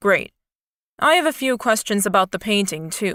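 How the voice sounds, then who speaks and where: A woman speaks at a moderate pace in a put-on character voice with lively intonation and a medium pitch, recorded very cleanly against a silent background with a dry, close sound and no echo. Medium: read story.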